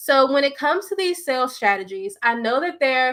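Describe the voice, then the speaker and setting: The speaker has a bright, sharp tone and a fairly quick pace on a very clean recording with a silent background. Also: woman. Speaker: business coach. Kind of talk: solo video talk on business tips.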